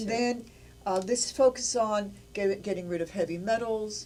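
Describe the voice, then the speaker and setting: Her intonation stays fairly even as a woman with a normal speaking voice talks at a medium pitch and a moderate pace. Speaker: nutrition presenter. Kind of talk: infomercial product pitch.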